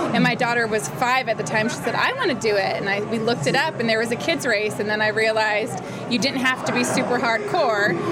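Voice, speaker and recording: Over noticeable background noise, a woman with a fairly high pitch races along at a very fast pace with hardly any pauses, very even loudness and ordinary pitch variation. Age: 40s. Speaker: obstacle course racer. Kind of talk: interview. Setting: outdoors at race event.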